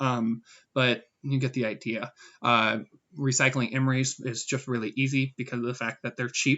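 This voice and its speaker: In a medium-pitched voice, a man speaks with monotone, flat intonation. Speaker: gaming YouTuber. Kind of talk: gameplay commentary. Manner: fast; hesitant fillers.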